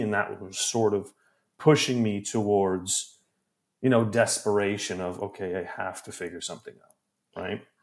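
A man with a Canadian accent speaks at a moderate pace in a fairly low pitch. His intonation is fairly even, his loudness swings widely, and he has an ordinary speaking voice. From Canada. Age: 20s. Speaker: podcast producer and editor. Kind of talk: casual chat.

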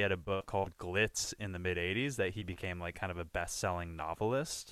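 A man with an American accent and a plain, everyday voice talks at a fairly quick pace with ordinary pitch variation, on a very clean recording with a silent background. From Southern California, South Bay (Redondo Beach). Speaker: podcast co-host. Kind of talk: casual chat.

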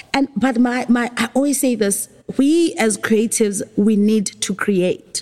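A woman speaks at a very even loudness. Noticeable background noise runs behind her. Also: ordinary pitch variation. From South Africa, Eastern Cape (Port Elizabeth). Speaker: film and TV producer. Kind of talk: casual interview chat.

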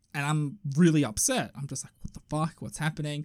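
A man with a fairly high pitch and an Australian accent. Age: 30s. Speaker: podcast co-host. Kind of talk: casual chat. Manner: animated.

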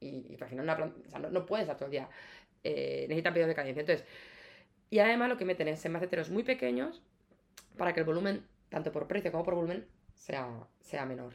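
A woman's fairly low voice at a very fast pace, lively in intonation, broken by long, frequent pauses. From Spain, Castilla-La Mancha (Ciudad Real). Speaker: plant shop founder. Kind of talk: casual interview. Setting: sitting on host's sofa.

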